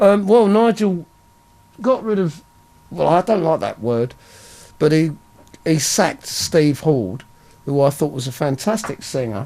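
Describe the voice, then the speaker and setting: Speaking with an English accent, a man talks at a fairly slow pace in a fairly high pitch, his voice swinging very widely in pitch and broken by long, frequent pauses. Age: 60s. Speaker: rock singer and bassist. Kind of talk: interview. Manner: halting.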